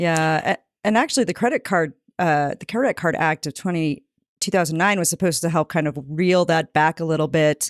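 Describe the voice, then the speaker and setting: A woman with an unremarkable speaking voice talks at a fairly quick pace in a fairly low pitch with ordinary pitch variation, recorded very cleanly against a silent background with a dry, close sound and no echo. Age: 40s. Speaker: financial journalist, co-host. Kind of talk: casual podcast chat.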